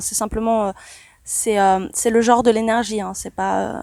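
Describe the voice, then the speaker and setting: This woman speaks at a moderate pace. The recording is very clean, with a silent background. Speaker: spiritual channeler. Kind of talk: channeling session. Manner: soft-spoken; calm, meditative.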